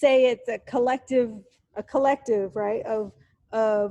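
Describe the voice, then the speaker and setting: A woman's fairly high voice with an American accent, at a very slow pace. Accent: Texan pronunciation of aunt. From Texas, Dallas. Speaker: university lecturer. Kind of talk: lecture. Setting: recorded lecture over slides. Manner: casual, with many fillers.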